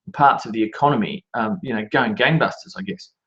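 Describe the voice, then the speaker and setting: A man with an Australian accent whose pitch swings very widely up and down. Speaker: market analyst. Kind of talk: market commentary. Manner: halting, with many fillers.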